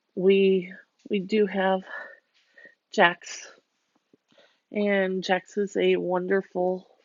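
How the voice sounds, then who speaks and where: A woman at medium pitch with an American accent, very slow and monotone, with long, frequent pauses. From Pittsburgh, Pennsylvania, US. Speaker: vlogger. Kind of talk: casual vlog talk. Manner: hesitant, many fillers and repeated words.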